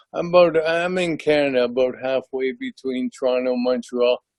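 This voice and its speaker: The speaker is a man with a medium-pitched voice and ordinary pitch variation. He talks at a fairly slow pace. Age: 60s. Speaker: ALS patient, retired teacher and coach. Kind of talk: testimony on video call. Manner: halting, many fillers.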